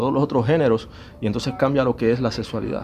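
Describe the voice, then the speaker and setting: Here a man has an unremarkable speaking voice, medium in pitch with ordinary pitch variation. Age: 40s. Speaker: musician. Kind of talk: testimony.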